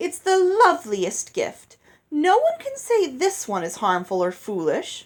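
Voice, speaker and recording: A woman's put-on character voice, extremely high in pitch and fairly slow. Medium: read story. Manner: effusive, theatrical, oblivious.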